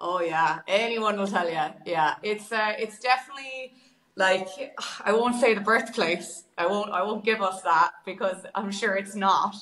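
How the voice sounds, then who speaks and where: A woman speaks with a western Irish accent at a moderate pace. Her pitch is medium, with ordinary variation. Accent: Irish (west of Ireland). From Ireland, Galway. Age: 20s. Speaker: singer and busker. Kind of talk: casual interview chat.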